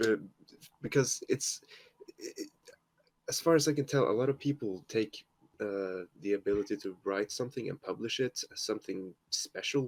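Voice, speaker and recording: In a Norwegian accent, a man talks at a moderate pace with long, frequent pauses, in a dry, close sound with no echo. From Norway. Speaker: fanfiction writer. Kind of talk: casual chat.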